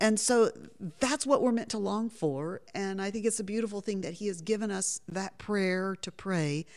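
On a very clean recording with a silent background, a woman speaks at a medium pitch in a dark, mellow tone. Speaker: Bible teacher and author. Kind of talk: radio interview. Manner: enthusiastic.

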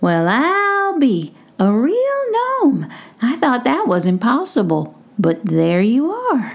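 Putting on a character voice, a woman talks at a fairly slow pace with a high pitch. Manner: gruff but forgiving, folksy.

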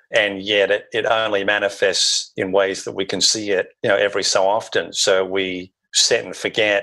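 A man with an Australian accent talks over a quiet background. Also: moderate pace. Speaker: consultant. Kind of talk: interview conversation.

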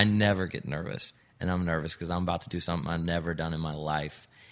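A very deep, low-pitched man with an American accent, fairly quick pace and monotone, flat intonation on a very clean recording with a silent background. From Indiana, US Midwest. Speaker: country musician. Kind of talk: casual interview chat. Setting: studio.

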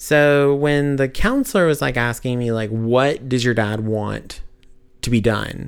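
A man with an unremarkable speaking voice speaks at a fairly slow pace and medium pitch with ordinary pitch variation, recorded very cleanly against a silent background. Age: 30s. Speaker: podcast guest sharing personal loss story. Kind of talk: casual conversational testimony.

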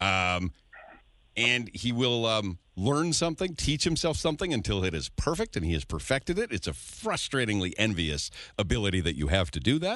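Against a quiet background, a man with a fairly low voice and vocal fry speaks at a moderate pace, his pitch swinging very widely. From Edmonton, Canada. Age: 40s. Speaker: radio host. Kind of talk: morning radio chat. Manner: animated.

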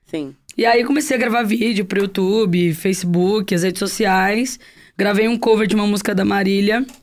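Moderate pace, a normal speaking voice and ordinary pitch variation, captured in a very clean recording against a silent background. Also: woman, medium pitch for a woman. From Guarujá, São Paulo coast, Brazil. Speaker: singer-songwriter. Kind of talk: casual interview chat.

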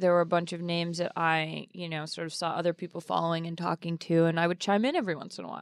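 Heard in a very clean recording with a silent background, a plain, everyday voice speaks at a fairly quick pace. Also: woman. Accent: American. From Boston, Massachusetts. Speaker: sports writer and podcast host. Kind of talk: casual panel discussion.

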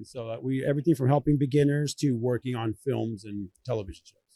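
Sounding dry and close with no echo, a man speaks at a fairly quick pace with a medium pitch and a dark, mellow, somewhat breathy tone. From Venezuela, raised in Southern California and Orlando. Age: 40s. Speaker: video producer and business owner. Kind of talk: casual interview. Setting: busy conference hall. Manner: animated.

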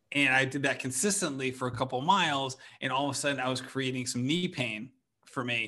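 A man's medium-pitched voice, bright and sharp in tone, at a very fast pace with ordinary pitch variation against a quiet background. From Rhode Island. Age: 40s. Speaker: running podcaster. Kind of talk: casual interview chat.

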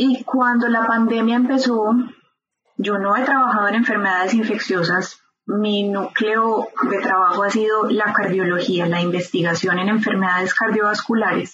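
A woman talks in a plain, everyday voice at a fairly high pitch. Her pace is moderate, her loudness very even and her intonation fairly even. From Colombia, Medellín. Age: 40s. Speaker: epidemiologist. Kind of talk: interview.

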